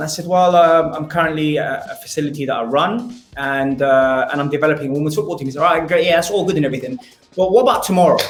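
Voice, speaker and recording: The speech comes at a very fast pace with ordinary pitch variation. Noticeable background noise and audible room echo fill the recording. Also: man, fairly high pitch for a man. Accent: London. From London, England. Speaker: football coach and radio host. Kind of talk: podcast interview.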